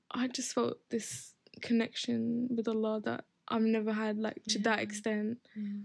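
A woman with an Essex accent speaks at a moderate pace in a fairly high, somewhat breathy voice with monotone, flat intonation. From Essex, England. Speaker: podcast guest. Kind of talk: casual chat.

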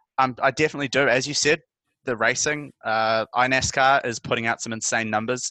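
Over a quiet background, a man with a New Zealand accent speaks at a fairly quick pace, with a medium pitch, a bright, sharp tone, fairly even intonation and a dry, close sound with no echo. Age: 20s. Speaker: journalist. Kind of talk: casual interview.

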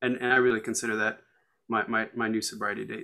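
Speaking at a fairly quick pace with an American accent, a man uses a bright, sharp tone marked by vocal fry. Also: very clean recording, silent background. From US, Colorado. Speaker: recovering alcoholic. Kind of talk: casual chat. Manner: halting, many repeated words.

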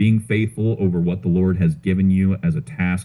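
In an American accent, a man speaks at a moderate pace in a very deep, low voice with a dark, mellow tone. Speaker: news podcast host and basketball coach. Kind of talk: interview.

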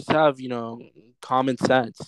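A man with an American accent speaks in a flat monotone, his voice dry and close with no echo over a quiet background. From Los Angeles, San Fernando Valley. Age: 20s. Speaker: clothing brand founder. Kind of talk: casual interview chat.

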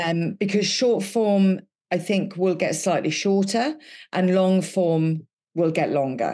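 Speaking very slowly with a Welsh accent, a woman uses a medium pitch, a dark, mellow tone, ordinary pitch variation and very even loudness against a quiet background. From Wales. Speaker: podcast co-host, business consultant. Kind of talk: casual chat.

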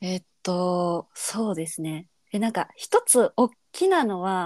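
Speaking at a very slow pace in a Kansai accent, a woman uses a medium pitch with ordinary pitch variation, in a dry, close sound with no echo on a very clean recording with a silent background. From Kansai, Japan. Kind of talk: casual chat.

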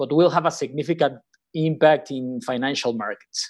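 The man speaks with a Spanish accent and a high pitch. The recording is very clean, with a silent background. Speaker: podcast co-host, financial strategist. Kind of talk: interview.

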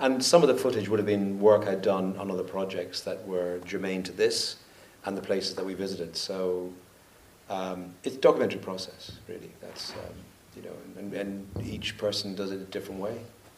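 A man speaks in a plain, everyday voice at a fairly quick pace, his fairly low pitch held in fairly even intonation while his loudness swings widely. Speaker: documentary photographer and film director. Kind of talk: panel Q&A conversation on stage. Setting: stage with audience.

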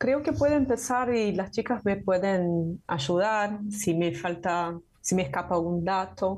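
Over a quiet background, a woman speaks at a very slow pace and medium pitch with hardly any pauses. Her voice is somewhat breathy, with ordinary pitch variation and very even loudness. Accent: Portuguese. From Brazil. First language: Portuguese (speaking Spanish). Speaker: university professor and translator. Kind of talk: interview conversation.

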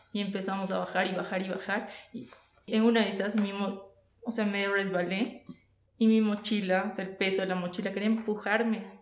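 A woman talks at a moderate pace in a monotone, flat intonation, with audible room echo around her. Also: medium pitch for a woman. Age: 30s. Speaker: podcast guest. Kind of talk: casual chat.

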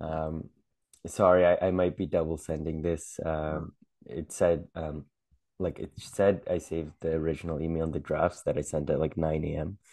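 A man's very deep, low voice, flat and monotone, at a moderate pace. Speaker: podcast co-host, amateur comedian. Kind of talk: casual chat. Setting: home recording, video.

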